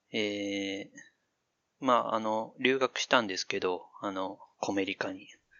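A man with a plain, everyday voice speaks at a fairly slow pace and fairly low pitch, keeping his intonation fairly even. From Chichibu, Saitama (until mid elementary school). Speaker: AI dialogue systems researcher with linguistics background. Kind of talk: casual chat.

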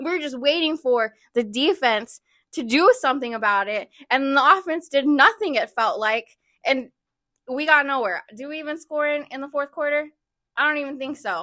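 In a very clean recording with a silent background, a woman projects a raised, high-pitched voice with a bright, sharp tone, lively intonation, big swings in loudness, and a moderate pace. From Texas, Dallas. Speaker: football fan guest. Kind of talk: casual chat.

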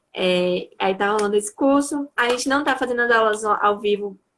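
At a moderate pace, a woman speaks with an unremarkable speaking voice and a medium pitch. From interior of Bahia, Brazil. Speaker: dance teacher. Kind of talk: casual interview.

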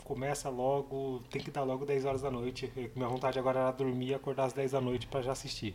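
A man talks at a very fast pace in a medium pitch, his intonation monotone and flat. Noticeable background noise runs under his voice. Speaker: movie podcast co-host. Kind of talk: casual chat.

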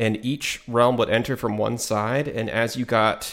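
Using a plain, everyday voice, a man speaks at a medium pitch with fairly even intonation. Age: 30s. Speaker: gaming podcast co-host. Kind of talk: casual chat.

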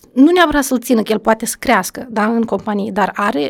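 At a fairly quick pace, a woman talks in a fairly high voice with vocal fry. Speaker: education official. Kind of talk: podcast interview.

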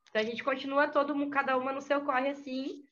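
Talking very fast in a raised, projected voice, a woman sounds high-pitched with a bright, sharp tone. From interior of Santa Catarina, Brazil. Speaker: rapper and music producer. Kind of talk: interview conversation.

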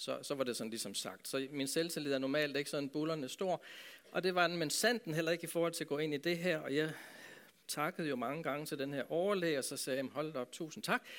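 This is a plain, everyday voice from a man with a fairly high pitch. He talks at a fairly quick pace with ordinary pitch variation. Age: 60s. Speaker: pastor. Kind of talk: talk to a church audience.

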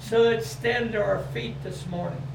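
Noticeable background noise around a man's fairly slow delivery. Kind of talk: prayer and testimony. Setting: church.

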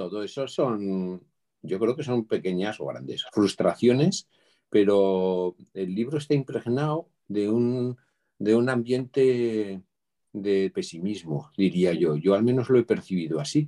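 At a very slow pace, a man with a fairly low pitch, a dark, mellow tone and lively intonation is heard in a dry, close sound with no echo. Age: 60s. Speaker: retired administrator, library user. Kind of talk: casual chat.

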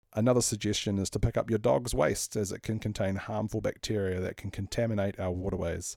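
Very fast and with hardly any pauses, the voice has a dark, mellow tone, fairly even intonation and a New Zealand accent, recorded very cleanly with a silent background and a dry, close sound with no echo. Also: man, fairly low pitch for a man. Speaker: city councillor and podcast host. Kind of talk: scripted narration.

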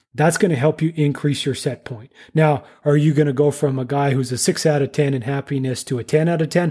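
With a Canadian accent, a man speaks fairly quickly in a fairly high pitch, his tone dark and mellow, slightly breathy, with fairly even intonation, on a very clean recording with a silent background. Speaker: engineer and podcast host. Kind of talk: interview conversation.

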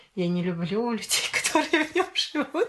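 A woman is talking. Noticeable background noise sits behind her. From Sosnovy Bor, Leningrad region, Russia. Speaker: podcast guest, storyteller. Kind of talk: casual chat.

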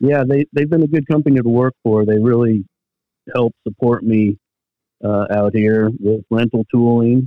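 This man, with an American accent, has an ordinary speaking voice at a medium pitch, talking at a moderate pace with fairly even intonation and very even loudness. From Pennsylvania, Bethlehem. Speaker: tool sales representative. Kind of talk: casual interview.

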